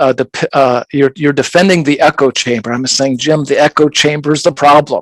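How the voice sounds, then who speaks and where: In an American accent, a man with a fairly high pitch speaks at a moderate pace with ordinary pitch variation, in a dry, close sound with no echo. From US Midwest, Indiana. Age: 60s. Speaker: podcast host. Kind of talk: heated debate. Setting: live video stream. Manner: halting, repetitive false starts.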